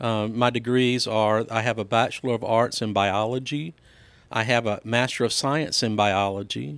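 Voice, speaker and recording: A man at medium pitch and moderate pace, with fairly even intonation and very even loudness, on a very clean recording with a silent background. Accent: Mississippi. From Mississippi, Laurel. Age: 50s. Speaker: school board candidate, educator. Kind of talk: interview. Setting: studio.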